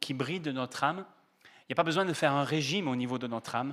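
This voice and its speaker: In a southern French accent, a man talks very fast at a fairly high pitch, with a bright, sharp tone and ordinary pitch variation, on a very clean recording with a silent background. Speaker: pastor. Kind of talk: sermon. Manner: hesitant, many fillers.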